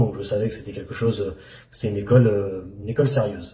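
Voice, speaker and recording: The man's voice is somewhat breathy, with a dark, mellow tone. He talks at a very fast pace. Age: 30s. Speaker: trading student. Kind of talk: testimony. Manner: halting.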